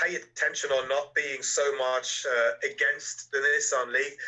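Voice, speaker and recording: A man talks with a slight German accent. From Germany. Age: 30s. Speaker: electric car YouTuber. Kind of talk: casual interview.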